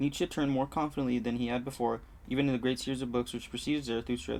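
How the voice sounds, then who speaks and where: Fairly even in intonation, a man speaks at a very fast pace. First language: not English. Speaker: book club video host. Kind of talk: reading aloud. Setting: home room by a busy street. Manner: halting.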